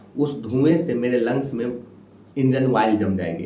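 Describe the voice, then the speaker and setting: Medium pitch from a man, with background noise clearly audible. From Samastipur, Bihar, India. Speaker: stand-up comedian. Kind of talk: stand-up comedy set.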